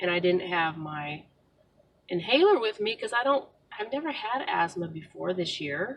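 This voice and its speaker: A woman speaks loudly at a moderate pace with very wide pitch swings. Her pitch sits in the medium range. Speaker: vlogger, stay-at-home mom. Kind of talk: casual car vlog monologue. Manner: hesitant, with frequent fillers; trying to speak louder.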